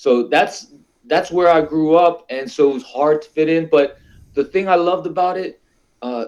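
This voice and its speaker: Ordinary pitch variation marks this voice, which keeps a moderate pace. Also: man, fairly high pitch for a man. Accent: Philadelphia. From US Northeast (West Philadelphia). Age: 40s. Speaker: talk show guest. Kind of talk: casual chat. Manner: relaxed conversational slang.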